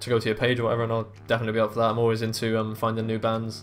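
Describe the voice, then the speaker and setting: With music in the background, a man with an English accent speaks at a very fast pace in a medium pitch and a monotone, flat intonation. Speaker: gaming YouTuber. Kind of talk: gameplay commentary. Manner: halting, many fillers.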